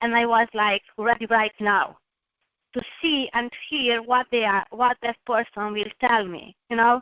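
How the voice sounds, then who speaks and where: Speaking with a non-native accent, a woman uses a fairly high pitch and fairly even intonation at a fairly slow pace. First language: not English. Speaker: motivational guest speaker. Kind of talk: motivational presentation.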